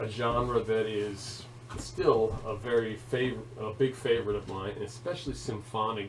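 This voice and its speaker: A man talks in monotone, flat intonation at a medium pitch. Room echo is audible. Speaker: instructor training web content staff. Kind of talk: tutorial. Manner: hesitant with fillers.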